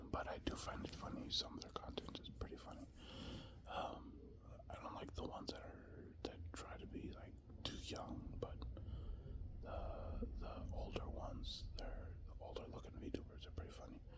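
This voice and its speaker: A moderate-paced whisper with noticeable background noise behind it. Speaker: construction worker. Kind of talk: whispered casual ramble. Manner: whispered; rambling, casual.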